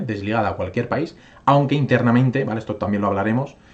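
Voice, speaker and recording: A man talks in a medium-pitched, somewhat breathy voice that shows ordinary pitch variation. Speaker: crypto YouTuber. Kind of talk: casual video commentary, market analysis. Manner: fast; filler-heavy, frequent ¿vale? and hesitations.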